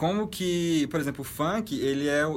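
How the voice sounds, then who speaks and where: Pitched fairly high, this man has a normal speaking voice. His pitch variation is ordinary. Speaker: podcast co-host. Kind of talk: casual chat.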